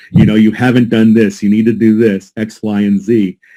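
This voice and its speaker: In an American accent, a man speaks with a fairly low pitch and a dark, mellow tone. His intonation is monotone and flat. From United States. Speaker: Jesuit priest and legal scholar. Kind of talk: academic conference presentation. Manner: halting, with repetitions.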